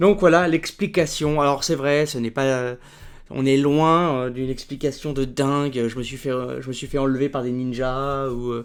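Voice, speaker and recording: A man with a Parisian accent speaks at a moderate pace, his pitch fairly high and his intonation fairly even. The recording is very clean with a silent background. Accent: Parisian accent (La Villette). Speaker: book YouTuber and student. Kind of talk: casual improvised vlog. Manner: hesitant, many fillers.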